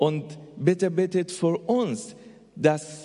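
A man speaks in a high pitch. His pace is very slow. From Afghanistan. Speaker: missionary. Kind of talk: testimony. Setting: church.

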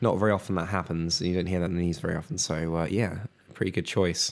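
A man speaks with a British accent at a fairly quick pace. His pitch is very deep and low. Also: very clean recording, silent background. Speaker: podcast co-host. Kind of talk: casual podcast chat.

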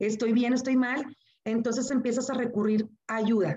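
A woman is speaking. She has an ordinary speaking voice. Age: 40s. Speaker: engineer and teacher. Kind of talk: interview testimony.

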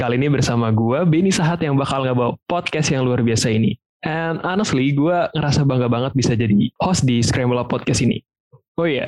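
This man has a normal speaking voice, medium in pitch with ordinary variation, moving at a fairly quick pace with very even loudness. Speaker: podcast host. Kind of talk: casual Jakarta slang mixed with English.

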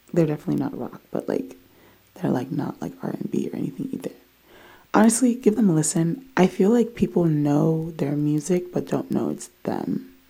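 Vocal fry marks a voice with an American accent at a moderate pace. The pitch swings very widely. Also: woman, fairly low pitch for a woman. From DMV area, US (Ghanaian family). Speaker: podcast host. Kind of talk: personal testimony. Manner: animated.

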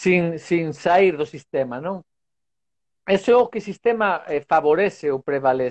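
Lively in intonation, a man speaks in a high pitch at a fairly slow pace, leaving long, frequent pauses. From Spain. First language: Spanish (speaking Portuguese). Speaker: sports science professor. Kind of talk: casual interview. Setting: video call from home balcony.

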